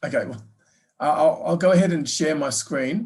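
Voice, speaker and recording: Against a quiet background, a man with an Australian accent talks at a fairly high pitch with lively intonation. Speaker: business professor; presenter. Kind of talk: lecture. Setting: online webinar. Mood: warm, polite. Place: office. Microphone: video call.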